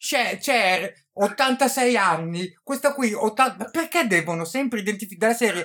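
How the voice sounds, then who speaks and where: Intonation in this man's speech is lively. He speaks with a high pitch and at a fairly slow pace. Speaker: podcast host, book reviewer. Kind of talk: casual interview. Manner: halting; animated.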